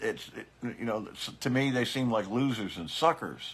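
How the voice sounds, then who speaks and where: This is a man speaking. His voice has vocal fry. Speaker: biker political commentator. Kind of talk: casual livestream commentary. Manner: hesitant, many fillers and repeats.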